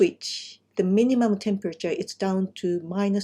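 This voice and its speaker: At a fairly slow pace, a woman speaks with a medium pitch, a dark, mellow tone and a somewhat breathy quality, her intonation fairly even. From Japan, Kumamoto. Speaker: landscape designer. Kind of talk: presentation. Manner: halting.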